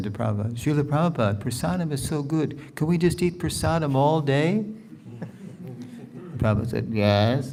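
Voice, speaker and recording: Talking fast-ish with lively intonation, a man with an American accent is heard amid noticeable background noise and audible room echo. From New York area, US. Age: 70s. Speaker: spiritual teacher. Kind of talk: lecture with Q&A. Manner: conversational.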